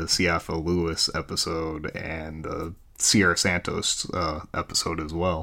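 A man with an American accent speaks at a very deep, low pitch. His intonation is monotone and flat, with hardly any pauses. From Chicago area. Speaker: listener. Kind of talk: recorded voice message.

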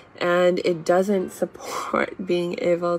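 Her voice sits fairly low for a woman. There is noticeable noise in the background. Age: 30s. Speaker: self-help podcaster and author. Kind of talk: motivational livestream lesson. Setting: live video broadcast.

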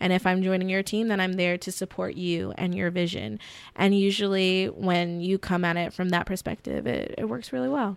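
A woman's unremarkable speaking voice, medium in pitch, with an American accent, on a very clean recording with a silent background. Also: ordinary pitch variation, moderate pace. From US South, middle Georgia (Warner Robins). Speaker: actress and TV show creator. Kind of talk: casual interview chat.

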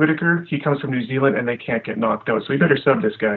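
In a western Canadian accent, a man speaks with lively intonation. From Alberta, Canada. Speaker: meme creator. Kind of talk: casual chat.

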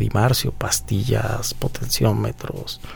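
Speaking at a very slow pace, a man keeps a medium pitch. Noticeable background noise and audible room echo fill the recording. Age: 50s. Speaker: guitar technician. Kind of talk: casual chat.

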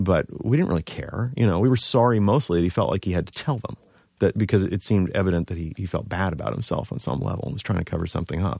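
Very fast and lively in intonation, a man speaks at a fairly low pitch with an American accent. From Baltimore, Maryland. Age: 40s. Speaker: writer and cartoonist. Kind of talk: casual podcast interview. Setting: studio.

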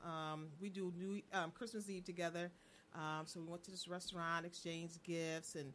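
Fairly low pitch for a woman, in a normal speaking voice, with fairly even intonation and a moderate pace. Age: 50s. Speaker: co-host.

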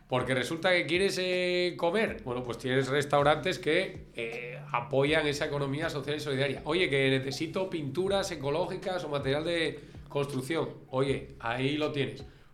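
Moderately paced speech with ordinary pitch variation, audible room echo and music in the background. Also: man, fairly high pitch for a man. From Spain, Asturias (Gijón). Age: 40s. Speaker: school teacher. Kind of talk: casual interview. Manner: halting, repeats words.

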